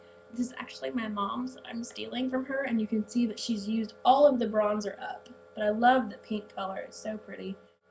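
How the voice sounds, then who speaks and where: Over noticeable background noise and audible room echo, a woman speaks at a fairly quick pace with a fairly high pitch. Her pitch varies in an ordinary way, while her loudness swings widely. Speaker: beauty vlogger. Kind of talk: tutorial. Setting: home bathroom. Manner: hesitant, says um a lot; casual.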